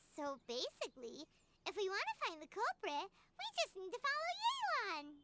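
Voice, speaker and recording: A squeaky put-on character voice at an extremely high pitch swings very widely in pitch while keeping a moderate pace. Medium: video game. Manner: excitable.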